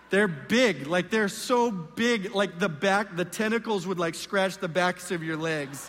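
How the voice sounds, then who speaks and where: This man talks at a fairly slow pace with hardly any pauses. His pitch is high, with ordinary pitch variation. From Southern California. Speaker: guest pastor. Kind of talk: sermon. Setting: church stage with congregation.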